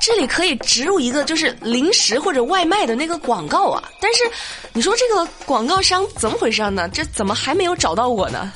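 A woman speaks in an animated tone at a high pitch, her voice swinging very widely, over noticeable background noise. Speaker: radio news show host. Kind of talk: light-hearted news commentary. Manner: animated, frequent laughter.

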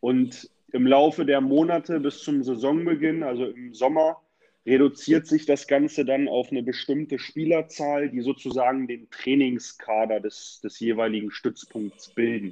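Ordinary pitch variation, a dark, mellow tone and a fairly slow pace. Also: man, fairly high pitch for a man. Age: 30s. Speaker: youth football coordinator. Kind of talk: casual interview.

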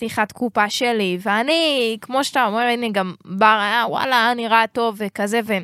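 A woman with a bright, sharp tone talks at a moderate pace. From Israel, Jerusalem. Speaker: rapper and music marketing advisor. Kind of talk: casual chat. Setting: studio.

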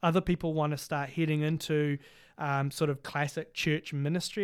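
A man with a New Zealand accent speaks at a moderate pace, fairly high in pitch and fairly even in intonation, on a very clean recording with a silent background. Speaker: Bible college academic director and podcast co-host. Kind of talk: casual chat. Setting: studio.

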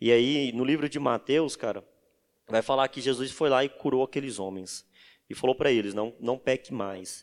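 A man with a plain, everyday voice speaks at a moderate pace and medium pitch, with ordinary pitch variation. The sound is dry and close with no echo, on a very clean recording with a silent background. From Bahia, Brazil. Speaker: data engineer. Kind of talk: casual chat.

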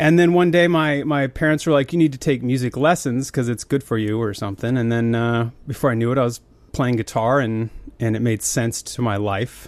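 On a very clean recording with a silent background, a man with a normal speaking voice, an American accent and medium pitch talks at a fairly quick pace with ordinary pitch variation. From Montana, US (Billings area). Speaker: musician and tech founder. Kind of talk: casual chat.

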